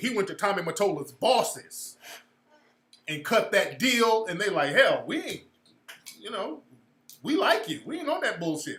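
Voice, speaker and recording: An animated man speaks with very wide pitch swings. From California. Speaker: livestream host and social commentator. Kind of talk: casual livestream commentary. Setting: livestream with chat room.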